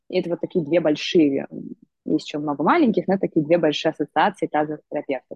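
A woman talks at a very fast pace in a very deep, low pitch. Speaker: pelvic physical therapist and entrepreneur. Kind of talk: interview. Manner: animated.

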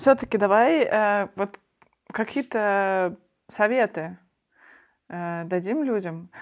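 A woman with a medium-pitched voice speaks at a very slow pace with lively intonation. She leaves long, frequent pauses, and the recording is very clean with a silent background. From Russia, Perm. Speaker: podcast co-host. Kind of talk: casual chat.

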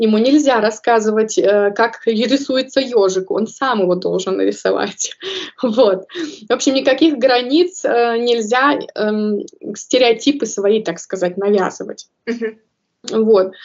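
A woman's fairly high voice, fairly slow, with ordinary pitch variation and long, frequent pauses. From Kazakhstan. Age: 30s. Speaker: early childhood educator. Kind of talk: interview.

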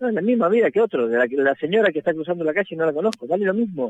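In a dry, close sound with no echo, a man with a fairly high pitch talks at a very fast pace, his pitch swinging very widely. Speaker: road safety activist. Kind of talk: phone interview.

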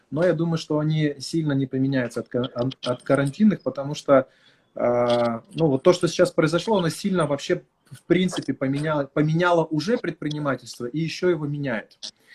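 The voice is somewhat breathy, at a moderate pace, with a dry, close sound and no echo. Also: man, fairly high pitch for a man, ordinary pitch variation. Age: 30s. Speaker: marketing consultant. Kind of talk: live stream talk.

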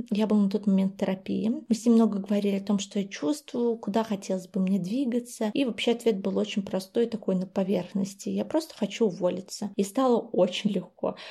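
Speaking fairly quickly with hardly any pauses, a woman has a medium-pitched, somewhat breathy voice with a dark, mellow tone and fairly even intonation, over a quiet background. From Belarus, Vitebsk. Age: 20s. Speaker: PR specialist. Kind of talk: personal story.

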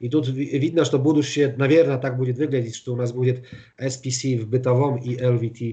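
A man's medium-pitched, dark and mellow voice with a Polish accent, somewhat breathy, at a moderate pace with fairly even intonation. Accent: Polish accent in Russian. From eastern Poland, Białystok. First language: Polish (speaking Russian). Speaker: flooring industry executive. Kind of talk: interview. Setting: remote call from home.

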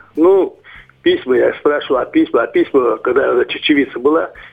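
Noticeable background noise sits behind the recording. Over it, a man speaks at a moderate pace. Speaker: caller. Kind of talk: testimony. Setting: phone call. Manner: halting.

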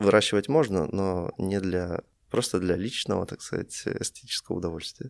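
Speaking at a moderate pace, the man has a very deep, low voice whose pitch varies in an ordinary way. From Russia. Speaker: tea shop founder. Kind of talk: casual interview.

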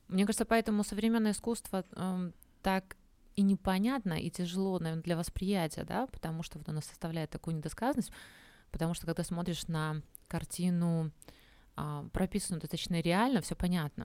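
In a very clean recording with a silent background, a woman with a fairly low pitch and a dark, mellow tone speaks at a fairly quick pace with ordinary pitch variation. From Belarus, Minsk. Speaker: podcast host. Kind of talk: interview. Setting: live broadcast.

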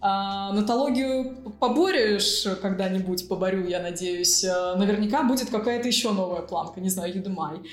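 At a moderate pace, a woman speaks at a medium pitch with ordinary pitch variation, over noticeable background noise and audible room echo. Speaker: IT entrepreneur and programming school founder. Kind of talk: interview.

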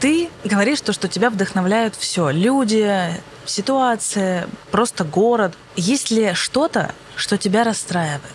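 Amid noticeable background noise, a woman with medium pitch speaks very slowly at very even loudness, her intonation lively. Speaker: podcast host. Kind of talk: casual interview chat. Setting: planetarium dome.

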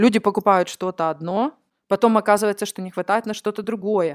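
Very fast and fairly even in intonation, a woman speaks at a medium pitch, recorded very cleanly against a silent background with a dry, close sound and no echo. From Ukraine, Nikopol. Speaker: event organizer. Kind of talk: casual interview chat.

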